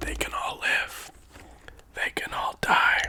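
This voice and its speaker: A man whispers at a fairly slow pace amid noticeable background noise. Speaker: ASMR creator. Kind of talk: casual talk to camera. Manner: casual, chatty, conversational.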